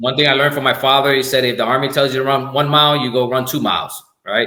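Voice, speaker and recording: Speaking very fast in a Spanish accent, a man keeps a monotone, flat intonation. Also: medium pitch for a man. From Puerto Rico. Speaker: army command sergeant major. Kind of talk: podcast interview. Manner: halting, many repetitions and fillers.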